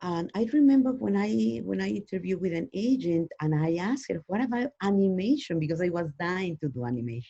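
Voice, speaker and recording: A dark, mellow tone with a non-native accent, at a moderate pace. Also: woman. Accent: foreign. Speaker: actress and voiceover artist. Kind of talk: interview.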